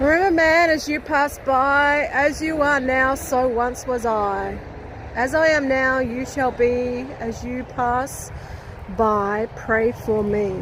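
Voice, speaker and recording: A woman's high-pitched, very slow speech with ordinary pitch variation over noticeable background noise. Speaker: paranormal investigator, ghost-hunting YouTuber. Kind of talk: casual talk to camera, reacting at a grave. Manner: incredulous, indignant, casual.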